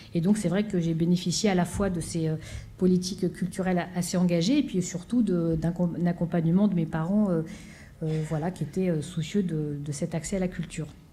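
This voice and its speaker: Audible room echo surrounds a woman's voice. She speaks fairly quickly at a fairly low pitch with fairly even intonation. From France, Seine-Saint-Denis (Pantin). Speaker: orchestra conductor. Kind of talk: conference talk. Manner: halting, many fillers.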